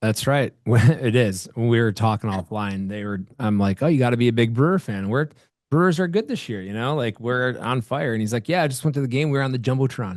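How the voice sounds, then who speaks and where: Against a quiet background, a man with an American accent talks at a fairly quick pace with hardly any pauses and ordinary pitch variation. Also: medium pitch for a man. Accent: Wisconsin, comes out at times. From Wisconsin. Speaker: podcast host. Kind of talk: podcast interview.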